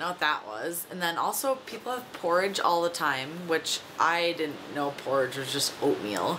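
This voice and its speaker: A speaker with an American accent talks at a moderate pace with lively intonation. Noticeable background noise can be heard. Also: woman. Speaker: vlogger. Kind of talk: casual vlog monologue. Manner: chatty, many fillers.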